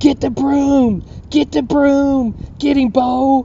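Over clear background noise, a female-sounding voice in a put-on character voice speaks at a very slow pace with a high pitch. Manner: frantic, yelling.

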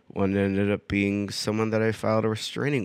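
On a very clean recording with a silent background, a man speaks at a fairly low pitch with an American accent. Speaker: podcaster. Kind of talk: casual solo podcast monologue. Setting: living room, recording on iPad. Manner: drawn-out and serious in podcast voice.

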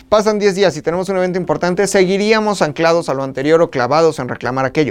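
A man speaks at a high pitch in a central Mexican accent, with lively intonation and an animated tone. Music plays in the background. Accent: Mexican Spanish, central Mexico. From Mexico, State of Mexico. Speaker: podcast host. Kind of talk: casual chat.

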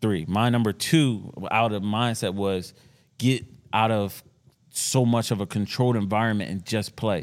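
A man speaks in an ordinary speaking voice, fairly low in pitch, at a moderate pace with fairly even intonation. The recording is very clean, the background silent. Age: 30s. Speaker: podcast co-host, former athlete. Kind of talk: casual banter.

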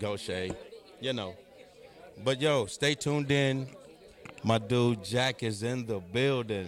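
A man's medium-pitched voice at a very slow pace, with long, frequent pauses over noticeable background noise. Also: ordinary pitch variation. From US Midwest, Cleveland. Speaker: DJ and show co-host. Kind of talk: radio dj patter filling dead air during a setup break. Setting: club with live audience. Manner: loose and friendly, calling out names of people in the room.

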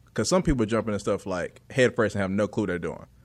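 A man speaks with an American accent against a quiet background. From North Carolina. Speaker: comedian. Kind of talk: casual chat. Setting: studio.

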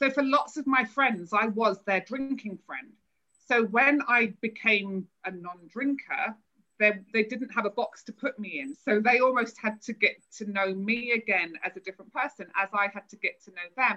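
A woman talks at a moderate pace in a bright, sharp tone, her fairly high pitch showing ordinary variation. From northern England, South Manchester. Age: 40s. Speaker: sobriety and wellness coach. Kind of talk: podcast interview.

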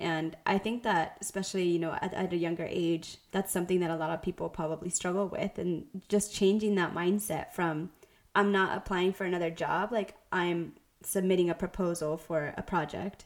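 The intonation stays monotone and flat at a moderate pace. The recording is very clean, with a silent background. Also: woman, fairly low pitch for a woman. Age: young. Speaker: podcast co-host, brand designer. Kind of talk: casual podcast chat.

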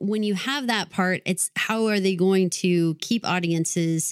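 A woman's ordinary speaking voice in an American accent, medium in pitch with ordinary pitch variation, dry and close with no echo, on a very clean recording with a silent background. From Texas. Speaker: podcast co-host. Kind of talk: casual chat.

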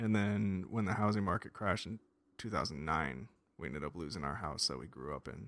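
Fairly quick, fairly low male voice with vocal fry, an American accent and ordinary pitch variation. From US West, Las Vegas, Nevada. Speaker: army veteran. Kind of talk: casual chat.

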